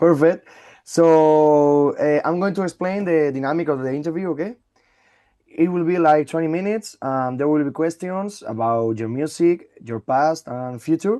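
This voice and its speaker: A man with a Spanish accent, a dark, mellow tone and fairly high pitch, ordinary pitch variation and a moderate pace. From Spain. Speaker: radio interviewer. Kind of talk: interview. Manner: halting.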